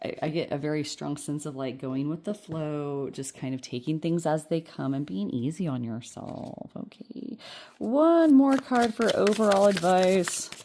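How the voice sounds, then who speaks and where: This woman has a very deep, low pitch and a dark, mellow tone. She speaks at a moderate pace with an American accent. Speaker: tarot card reader. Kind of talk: pick-a-card tarot reading. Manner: occasionally slurs words; casual, chatty with fillers.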